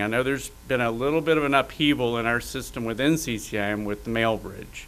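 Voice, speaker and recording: Moderate pace with ordinary pitch variation. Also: man. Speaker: professional association president. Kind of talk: event announcements. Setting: stage with audience. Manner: animated. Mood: friendly, relaxed. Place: meeting room. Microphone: podium.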